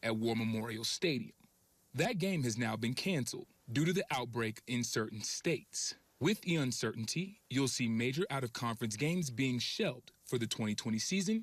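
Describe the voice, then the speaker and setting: A man talks at a fairly quick pace in an energetic, somewhat breathy voice at medium pitch. His intonation is lively and his loudness very even. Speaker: sports reporter and anchor. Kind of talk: TV sports news anchor read. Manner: polished, energetic, clear.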